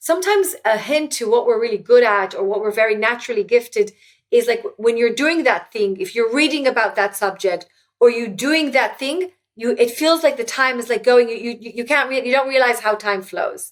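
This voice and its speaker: Speaking at a fairly quick pace in an Israeli accent, a woman uses a high pitch and lively intonation. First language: Hebrew. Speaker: author and former tech executive. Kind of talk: interview conversation. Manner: halting, with frequent repetitions.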